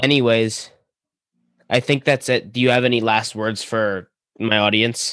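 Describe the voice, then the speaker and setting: A man speaks slowly with long, frequent pauses, at medium pitch and in a monotone, flat way. His loudness stays very even on a very clean recording with a silent background. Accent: American. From New York, US. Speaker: podcast host. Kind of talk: casual interview.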